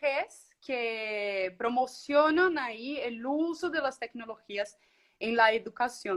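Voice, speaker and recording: The voice has a Colombian accent. Its intonation is lively. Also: woman. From Brazil. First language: Portuguese (speaking Spanish). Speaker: communicator, education technology worker. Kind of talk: online interview conversation.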